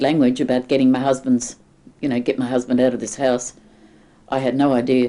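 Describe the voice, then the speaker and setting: This woman has a strong Australian accent. Her tone is dark and mellow. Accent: broad Australian. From Sydney, Australia. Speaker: oral history interviewee. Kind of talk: oral history interview.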